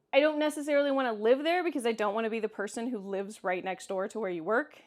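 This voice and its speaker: In a Kansas accent, a woman with a high pitch speaks very fast with lively intonation, on a very clean recording with a silent background. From Kansas, US Midwest. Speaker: vlogger. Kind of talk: casual vlog Q&A. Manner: halting, with frequent restarts.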